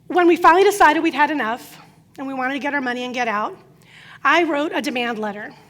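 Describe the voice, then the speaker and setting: A woman talking at a very fast pace, high in pitch, with lively intonation and big swings in loudness. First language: Croatian. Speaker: business coach. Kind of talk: conference talk.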